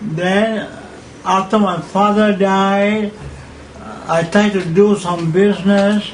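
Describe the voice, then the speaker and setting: Amid noticeable background noise and audible room echo, a man with a high pitch talks at a very slow pace with fairly even intonation. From Malaysia. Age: 80s+. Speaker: pageant figure. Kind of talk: interview. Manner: halting.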